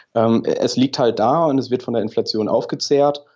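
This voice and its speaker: This man has an ordinary speaking voice, pitched in the medium range, and talks at a fairly slow pace with ordinary pitch variation. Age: 30s. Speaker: engineer, podcast listener. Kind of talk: interview.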